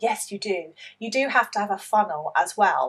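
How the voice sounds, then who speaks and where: A woman is speaking. She has a British accent. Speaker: online English teacher and business coach. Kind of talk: opinion commentary with screen-share tutorial. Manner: spontaneous, conversational.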